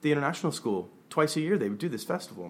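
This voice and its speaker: This man has an American accent, a fairly high pitch with very wide pitch swings, and vocal fry. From grew up abroad in Southeast Asia (Taiwan, Hong Kong), American family. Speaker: artist and gallery curator. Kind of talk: casual chat. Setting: studio.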